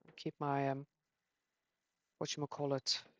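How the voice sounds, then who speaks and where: A woman mumbles at a moderate pace. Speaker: gaming youtuber. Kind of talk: gameplay commentary. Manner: mumbling; animated.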